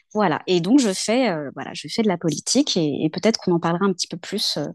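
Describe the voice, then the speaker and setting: A woman with an ordinary speaking voice talks in a medium pitch with lively intonation, the sound dry and close with no echo. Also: quiet background. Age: 40s. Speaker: local political activist. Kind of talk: interview conversation.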